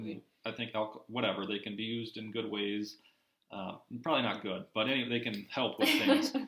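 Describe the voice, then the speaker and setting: A man with an American accent uses a plain, everyday voice at a medium pitch, talking at a fairly quick pace with fairly even intonation. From Minnesota. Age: 20s. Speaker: guest in construction industry. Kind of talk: casual chat.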